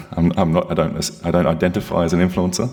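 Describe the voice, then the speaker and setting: A man with an Australian accent talks at a fairly quick pace amid noticeable background noise. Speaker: security consultant. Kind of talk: presentation. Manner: loud.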